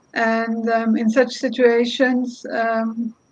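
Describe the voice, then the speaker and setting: With a German accent, a woman speaks at a fairly high pitch. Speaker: lawyer. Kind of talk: roundtable discussion. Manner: halting.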